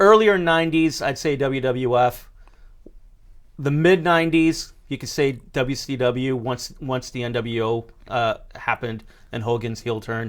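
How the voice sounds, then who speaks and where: The recording is very clean, with a silent background. A man speaks at a fairly slow pace, at medium pitch with ordinary pitch variation. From New Hampshire, US. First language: Greek. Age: 30s. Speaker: podcast guest. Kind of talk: casual chat.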